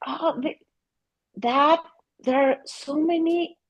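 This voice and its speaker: A woman in a Mexican accent at a very slow pace, with ordinary pitch variation. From Mexico. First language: Spanish. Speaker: family therapist. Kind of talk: interview. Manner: halting, with repeated words.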